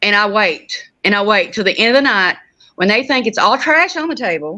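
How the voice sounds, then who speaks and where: A woman with an Oklahoma accent, a bright, sharp tone, lively intonation and a moderate pace. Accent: country Oklahoma. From southeast Oklahoma, McCurtain County. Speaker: reseller. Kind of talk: casual chat.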